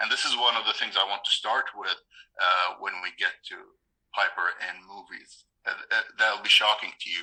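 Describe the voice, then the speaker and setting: A man at a moderate pace. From Bahrain. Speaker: YouTube gaming creator, podcast guest. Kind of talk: casual interview.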